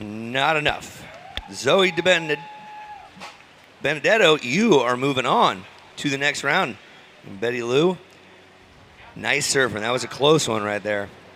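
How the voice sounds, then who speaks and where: Over noticeable background noise, a man talks at a fairly slow pace with long, frequent pauses, his fairly high voice carrying lively intonation. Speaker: surf contest announcer. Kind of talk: live commentary.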